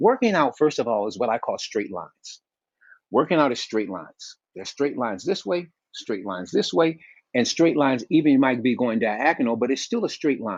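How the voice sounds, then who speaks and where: Against a quiet background, a man at medium pitch talks at a fairly quick pace with very wide pitch swings. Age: 70s. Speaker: health advocate and movement coach. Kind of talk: interview. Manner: halting, repeats words.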